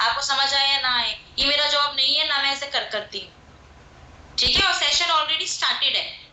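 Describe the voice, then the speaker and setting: A woman speaks at a high pitch and moderate pace, with audible room echo and noticeable background noise. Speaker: network marketing trainer. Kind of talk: online training session. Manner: animated, joking.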